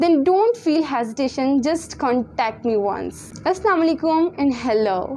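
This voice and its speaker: Her Punjabi accent comes through at a moderate pace, high in pitch with very wide swings. Noticeable background noise runs behind the woman. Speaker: tutor. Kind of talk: sales pitch.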